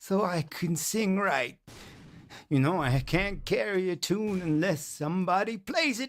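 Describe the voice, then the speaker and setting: Putting on a character voice, a man sounds hoarse and high-pitched, his lively intonation moving at a moderate pace in a very clean recording with a silent background. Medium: read story.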